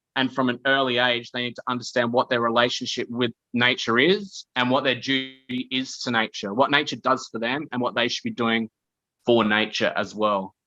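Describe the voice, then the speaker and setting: The voice has a bright, sharp tone with an Australian accent. The sound is dry and close, with no echo. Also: man, medium pitch for a man, moderate pace. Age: 30s. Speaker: podcast guest. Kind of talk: casual chat. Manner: animated.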